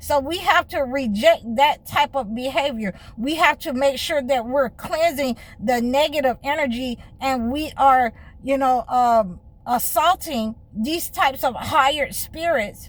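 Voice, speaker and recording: A woman speaks with an American accent at a high pitch. Her pace is fairly slow, and her pitch varies in an ordinary way. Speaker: spiritual healer and life coach. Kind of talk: monologue to camera.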